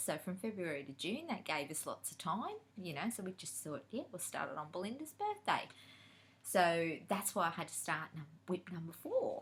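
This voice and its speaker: Somewhat breathy and fairly low in pitch, a woman speaks at a moderate pace. Her tone is animated, with ordinary pitch variation. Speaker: cross-stitch vlogger. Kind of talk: casual chat.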